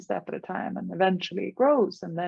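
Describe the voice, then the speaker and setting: With a Swedish accent, a woman speaks at a medium pitch. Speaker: life coach. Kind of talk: podcast interview. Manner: halting.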